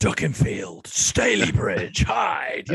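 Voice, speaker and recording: A man puts on a character voice that is booming and raspy. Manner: dramatic, announcing place names.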